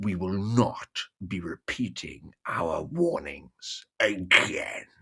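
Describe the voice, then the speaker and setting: A man puts on a growling character voice, fairly low in pitch. He speaks at a very slow pace. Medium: read story.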